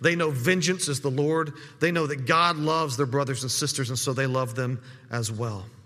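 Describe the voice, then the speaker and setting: Over noticeable background noise and audible room echo, a man talks at a fairly quick pace in a fairly high pitch with ordinary pitch variation. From desert region. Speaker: pastor. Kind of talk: sermon. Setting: church. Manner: halting, frequent word repetitions.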